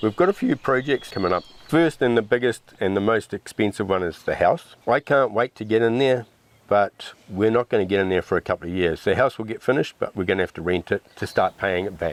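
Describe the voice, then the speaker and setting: In a New Zealand accent, a man speaks at a fairly low pitch, recorded with a dry, close sound and no echo. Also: ordinary pitch variation. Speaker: off-grid homesteader. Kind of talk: casual interview.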